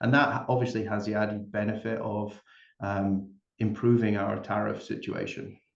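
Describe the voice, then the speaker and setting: In a Scottish accent, a man speaks at a moderate pace and medium pitch with fairly even intonation. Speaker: company executive. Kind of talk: panel discussion.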